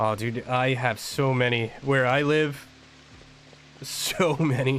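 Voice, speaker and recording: A man with an American accent speaks very slowly at medium pitch, with fairly even intonation and very even loudness. Noticeable background noise sits behind him. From New Jersey. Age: 30s. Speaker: gaming streamer, military veteran. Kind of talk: casual chat.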